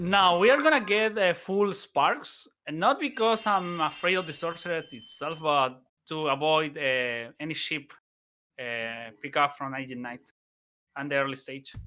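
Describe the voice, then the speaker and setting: A man with a non-native accent, fairly high pitch and bright, sharp tone, at a fairly slow pace with lively intonation and big swings in loudness, on a very clean recording with a silent background. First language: not English. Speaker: speedrunner. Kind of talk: live commentary. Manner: halting.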